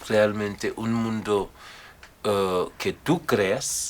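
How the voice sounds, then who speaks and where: In a West African accent, a man speaks very slowly at a fairly low pitch. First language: Mandinka (speaking Spanish). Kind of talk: interview.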